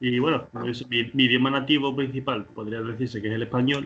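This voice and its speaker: A man talks over noticeable background noise. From Andalusia, Rota (Cádiz). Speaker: podcast guest. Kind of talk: interview. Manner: halting.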